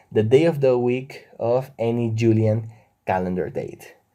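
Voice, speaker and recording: At a moderate pace, a man of medium pitch speaks in a Spanish accent with a dark, mellow tone. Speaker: math educator YouTuber. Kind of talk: tutorial.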